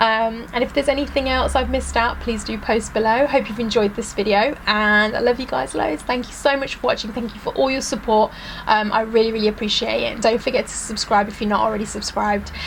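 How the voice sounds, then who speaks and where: Talking at a very fast pace with hardly any pauses, a woman has a British accent and fairly high pitch. Her pitch varies in an ordinary way, and background noise is noticeable. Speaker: beauty vlogger. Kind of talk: product review vlog.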